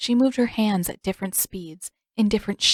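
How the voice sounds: Behind it, things stay quiet. The voice reads aloud naturally.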